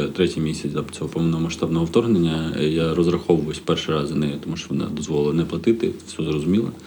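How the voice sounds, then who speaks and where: The man's voice is very deep and low, with fairly even intonation. Noticeable background noise and audible room echo fill the recording. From Odesa region, Ukraine. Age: 30s. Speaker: stand-up comedian. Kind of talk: casual chat. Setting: hotel room.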